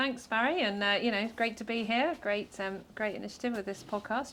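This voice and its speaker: A woman speaks with a British accent. Her pitch varies in an ordinary way. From UK. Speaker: structural engineer, government advisor. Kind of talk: podcast interview.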